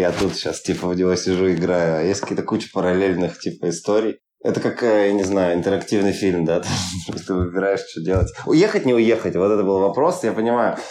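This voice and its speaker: Despite noticeable background noise, a man's very deep, low voice comes through at a fairly quick pace. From Urals, Russia (Yekaterinburg). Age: 30s. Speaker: film producer and startup founder. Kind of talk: podcast interview. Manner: casual, filler-heavy.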